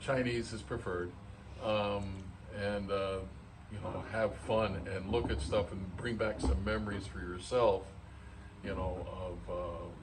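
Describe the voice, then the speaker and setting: A man talks at a fairly slow pace and fairly low pitch with long, frequent pauses. Audible room echo and noticeable background noise surround his voice. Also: ordinary pitch variation. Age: 70s. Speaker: video host, slot car enthusiast. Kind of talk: casual chat. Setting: museum.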